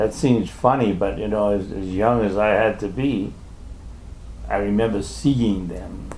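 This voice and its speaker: A man's fairly low voice, fairly slow and fairly even in intonation, with audible room echo. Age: 80s+. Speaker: elderly man recounting family history. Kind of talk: casual family chat over photos. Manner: halting.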